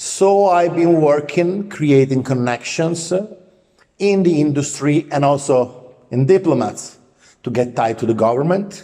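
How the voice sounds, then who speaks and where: A man's fairly high voice in an Italian accent, at a moderate pace with ordinary pitch variation. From Italy. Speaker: film producer. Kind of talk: self-introduction monologue. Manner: halting, many filler words.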